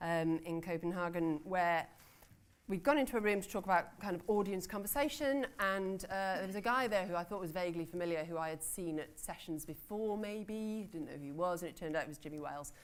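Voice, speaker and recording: Speaking with a British accent, a woman keeps a fairly quick pace. Her pitch is fairly low with ordinary variation. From Britain. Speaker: conference panel chair; newspaper editor. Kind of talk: conference session introduction. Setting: conference room with audience.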